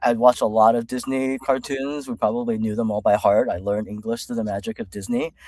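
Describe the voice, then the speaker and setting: With a Californian accent, the speaker talks at a fairly quick pace with fairly even intonation, the sound dry and close with no echo. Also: man. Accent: American (California). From China, raised in California from early childhood. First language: Chinese. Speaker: executive coach. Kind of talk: interview. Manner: casual, many fillers.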